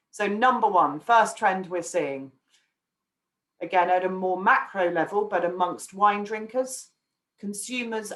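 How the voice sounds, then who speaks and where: This woman has an English accent and a medium pitch. She talks at a fairly slow pace with ordinary pitch variation. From England. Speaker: wine market research analyst. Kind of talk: webinar presentation. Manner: hesitant with frequent fillers.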